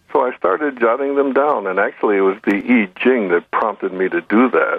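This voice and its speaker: The speaker uses an ordinary speaking voice at a moderate pace. Pitch variation is ordinary. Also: man. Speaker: neurosurgeon and author. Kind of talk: radio interview storytelling.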